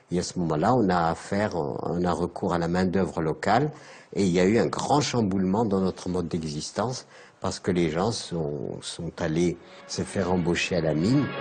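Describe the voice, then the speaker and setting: The man's voice is very deep and low, moving at a moderate pace and rising and falling in an ordinary way. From Algeria, Saharan oasis town. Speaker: elder recounting his life. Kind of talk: documentary interview testimony. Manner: halting.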